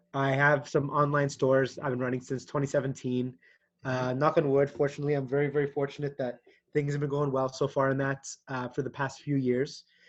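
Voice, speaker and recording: The speaker has a normal speaking voice and talks at a moderate pace. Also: man. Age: 20s. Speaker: actor and TikTok creator. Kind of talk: casual chat. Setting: call.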